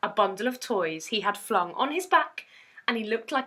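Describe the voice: Bright, sharp tone marks this woman's voice. She moves at a moderate pace with lively intonation.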